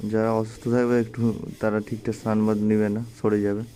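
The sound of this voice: A man speaks at a fairly quick pace, his fairly low voice carrying a dark, mellow tone.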